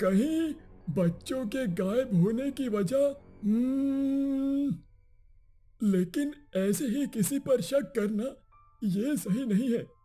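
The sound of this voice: In a cartoonish character voice, the speaker talks at a very slow pace with lively intonation and long, frequent pauses, while faint music plays in the background. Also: man, extremely high pitch for a man.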